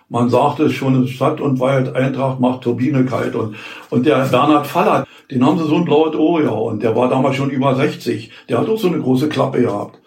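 Over noticeable background noise and audible room echo, a man talks at a moderate pace with a medium pitch and ordinary pitch variation. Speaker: former amateur footballer. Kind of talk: interview reminiscence. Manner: halting.

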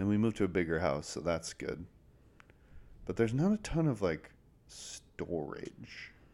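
With very deep, low pitch and a dark, mellow tone, a man uses lively intonation broken by long, frequent pauses. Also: moderate pace. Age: 20s. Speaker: podcast host, design firm co-owner. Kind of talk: casual chat.

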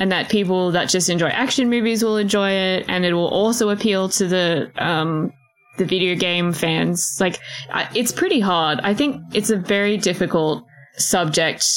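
Woman with an Australian accent, medium pitch, ordinary pitch variation, moderate pace and very even loudness, amid noticeable background noise. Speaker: podcast co-host. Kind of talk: casual chat.

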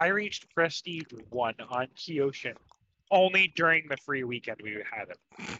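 Here is a man with an unremarkable speaking voice, pitched fairly high. He speaks at a fairly slow pace with lively intonation. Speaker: podcast co-host. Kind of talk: casual chat.

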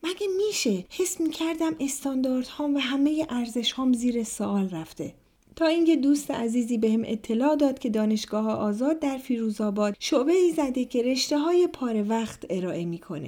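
This woman speaks with a high pitch and a dark, mellow tone, moving at a fairly quick pace with hardly any pauses while her pitch swings very widely. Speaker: podcast host and storyteller. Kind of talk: scripted narration of personal stories.

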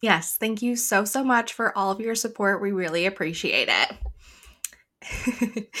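Speaking at a very slow pace with hardly any pauses, a woman uses a bright, sharp tone at a fairly high pitch with ordinary pitch variation, in a very clean recording with a silent background. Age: 30s. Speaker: book podcast co-host. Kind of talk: casual chat.

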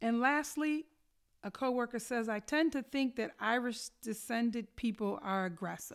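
An unremarkable speaking voice at a moderate pace with ordinary pitch variation, in a very clean recording with a silent background. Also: woman, fairly high pitch for a woman. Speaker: school equity team member presenting staff announcement. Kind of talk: scripted announcement reading staff responses aloud.

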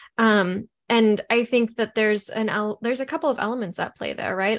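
A woman's unremarkable speaking voice, fairly high in pitch with ordinary pitch variation, against a quiet background. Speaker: podcast co-host. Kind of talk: casual chat.

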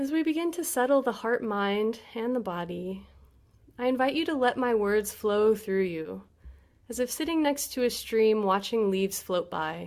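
With lively intonation, a woman has an unremarkable speaking voice at a fairly high pitch. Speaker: meditation teacher. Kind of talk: guided meditation. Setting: video call. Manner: slow, calm, soothing; gentle, unhurried with long pauses.

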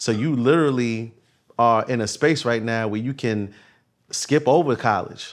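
This is an unremarkable speaking voice at a moderate pace. Its pitch varies in an ordinary way. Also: man, medium pitch for a man. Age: 30s. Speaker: trucking dispatch course entrepreneur. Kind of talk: casual chat.

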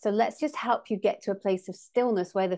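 A woman with an English accent speaks at a medium pitch with ordinary pitch variation. The background is quiet. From England. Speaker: sound healer and co-host. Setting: remote recording.

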